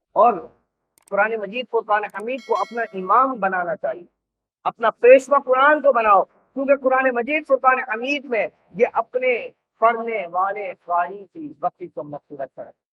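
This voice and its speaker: Extremely high pitch from a man with lively intonation and big swings in loudness, with music in the background. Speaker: Islamic scholar. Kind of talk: religious sermon.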